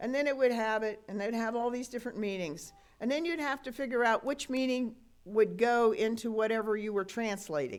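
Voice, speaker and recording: A woman speaks at a fairly quick pace in a fairly high voice with an Appalachian accent and ordinary pitch variation. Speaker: pastor. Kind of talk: sermon. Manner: conversational, folksy.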